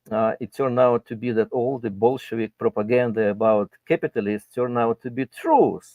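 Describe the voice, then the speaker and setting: With a Russian accent, a man speaks at a medium pitch and a moderate pace, hardly pausing, his intonation fairly even. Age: 60s. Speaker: guest commentator. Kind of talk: casual chat.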